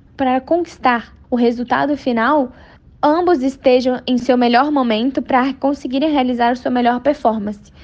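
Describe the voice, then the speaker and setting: High female voice with a Brazilian accent, fairly even intonation, and a moderate pace. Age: 20s. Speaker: equestrian athlete. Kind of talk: interview.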